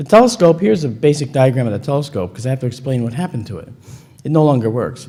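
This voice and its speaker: A man talks at a very fast pace with a medium pitch, lively intonation, a dark, mellow tone and a somewhat breathy quality. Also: big swings in loudness. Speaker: conference speaker on astronomy and UFO photo analysis. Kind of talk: lecture. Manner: conversational, animated.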